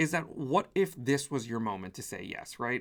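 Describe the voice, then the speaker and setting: The recording is very clean and the background silent. A male voice talks. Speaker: spiritual business coach. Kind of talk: motivational talk to camera. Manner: fast; animated.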